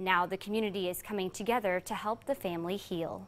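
Moderately paced female voice. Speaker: TV news reporter. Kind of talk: news report. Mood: somber, gentle tone. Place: studio. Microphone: lapel.

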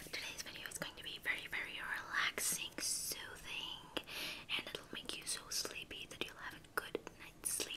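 Whispering, a woman speaks at a moderate pace. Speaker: ASMR creator. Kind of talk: ASMR roleplay, personal-attention makeup. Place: home room. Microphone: earbuds.

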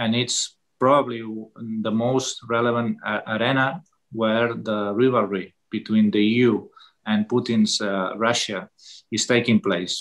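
A man with a Catalan accent at a very slow pace, fairly even in intonation, over a quiet background. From Catalonia. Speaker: politician. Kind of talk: webinar talk. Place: home room. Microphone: video call.

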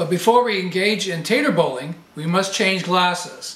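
Audible room echo surrounds a man speaking at a fairly slow pace, high in pitch, with ordinary pitch variation. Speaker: home video host. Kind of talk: comedic tutorial chat. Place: home room.

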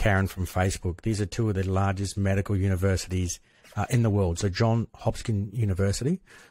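The sound is dry with no echo. A man speaks in a plain, everyday voice, fairly low in pitch with fairly even intonation. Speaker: news podcast co-host. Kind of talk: news commentary. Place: home room. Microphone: studio mic.

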